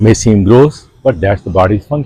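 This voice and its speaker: This man's fairly low, somewhat breathy voice has a dark, mellow tone, ordinary pitch variation and a moderate pace. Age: 70s. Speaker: breathing instructor. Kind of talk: instructional tutorial.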